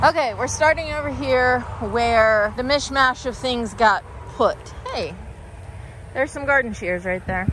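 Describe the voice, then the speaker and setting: A woman speaks at a fairly slow pace in a high voice with ordinary pitch variation, leaving long, frequent pauses. Noticeable background noise is present. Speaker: home gardener vlogger. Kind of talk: garden tour vlog. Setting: outdoors in garden, rainy day. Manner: casual, chatty.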